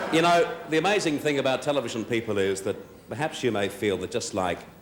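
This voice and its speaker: A man's pitch swings very widely as he talks at a fairly quick pace against noticeable background noise. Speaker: TV host. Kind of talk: awards show opening monologue. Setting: live ballroom audience.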